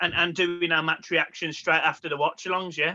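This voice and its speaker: Here a man speaks with a Birmingham accent. His pitch is high. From Birmingham, England. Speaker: football podcaster. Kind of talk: casual chat. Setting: recording from home.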